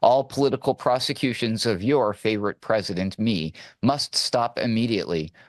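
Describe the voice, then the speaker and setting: A man with an unremarkable speaking voice talks at a fairly quick pace and medium pitch, his intonation lively. The recording is very clean with a silent background, dry and close with no echo. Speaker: news producer and segment co-host. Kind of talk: radio news banter, comedic news segment. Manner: playful, cheeky, bantering.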